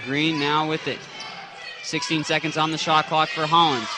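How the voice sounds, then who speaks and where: A man with a fairly high pitch talks at a moderate pace. Noticeable background noise is present. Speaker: sports play-by-play announcer. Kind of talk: live basketball play-by-play commentary.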